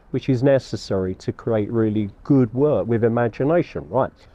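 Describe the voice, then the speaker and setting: A man at medium pitch with a London accent. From London (Battersea). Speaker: artist. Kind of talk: interview.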